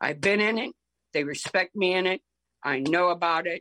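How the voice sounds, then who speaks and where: With an American accent and lively intonation, a woman is captured in a dry, close sound with no echo. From Ohio, with roots in Tennessee and Alabama. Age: 60s. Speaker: horticulturalist. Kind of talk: casual interview. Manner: halting.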